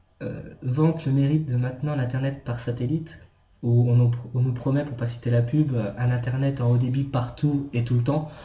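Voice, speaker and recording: A man's medium-pitched, somewhat breathy voice with a dark, mellow tone, moderate pace, fairly even intonation and audible room echo. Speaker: video blogger. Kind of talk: rant. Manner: halting.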